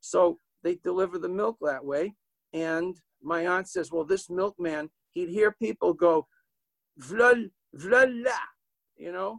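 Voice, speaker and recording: A man's high-pitched voice in a New England accent, with ordinary pitch variation, a fairly slow pace, long and frequent pauses, and a dry, close sound with no echo. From Manchester, New Hampshire. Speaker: author and storyteller. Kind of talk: storytelling.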